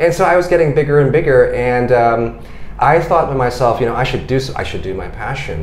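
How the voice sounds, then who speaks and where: Speaking at a very fast pace with an American accent, a man of medium pitch is heard with audible room echo and noticeable background noise. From United States. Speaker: founder of a public lecture platform. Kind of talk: podcast interview. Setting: office.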